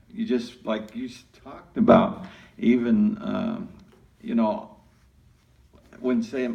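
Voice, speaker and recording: Speaking very slowly, a man with a fairly high pitch and a dark, mellow tone makes very wide pitch swings, with audible room echo. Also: long, frequent pauses, big swings in loudness. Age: old. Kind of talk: group discussion.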